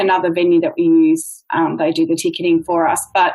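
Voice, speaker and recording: Here is a woman with an Australian accent. She talks at a fairly quick pace. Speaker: dance studio owner, podcast co-host. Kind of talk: casual chat.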